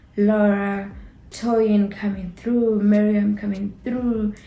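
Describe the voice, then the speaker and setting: Breathy in places, a woman speaks with a fairly high pitch and a monotone, flat delivery. Room echo is audible. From Botswana. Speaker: YouTuber, TV show reviewer. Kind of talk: casual review chat. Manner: casual, hesitant with fillers.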